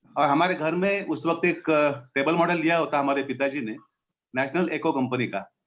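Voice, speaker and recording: A man speaks in a plain, everyday voice with a fairly high pitch and ordinary pitch variation. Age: 60s. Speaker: radio enthusiast. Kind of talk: interview. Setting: live stream.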